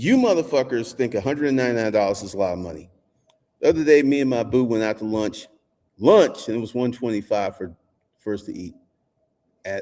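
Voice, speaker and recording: A man speaks at a medium pitch with a dark, mellow tone. His pitch varies in an ordinary way. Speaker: business coach and channel owner. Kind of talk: angry monologue to camera.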